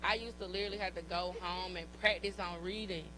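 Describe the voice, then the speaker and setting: Amid audible room echo, a woman speaks at a moderate pace. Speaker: podcast co-host. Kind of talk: casual chat. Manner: animated.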